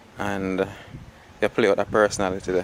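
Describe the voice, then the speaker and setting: Fairly quick speech from a man with a Jamaican accent, fairly low in pitch, over noticeable background noise. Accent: Jamaican Patois-accented English. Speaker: behind-the-scenes interviewer for a film channel. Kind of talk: casual interview.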